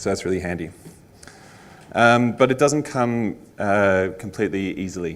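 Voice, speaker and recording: A man with an Australian accent talks at a moderate pace in fairly even intonation, with audible room echo. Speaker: conference speaker, front-end engineer. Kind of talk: conference talk. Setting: stage with audience. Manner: frequent fillers (um, uh).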